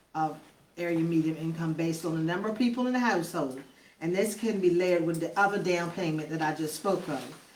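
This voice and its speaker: A woman's fairly low pitch, a fairly quick pace and ordinary pitch variation, with audible room echo. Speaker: city council official. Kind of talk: public meeting report. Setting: council meeting, livestreamed. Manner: fast.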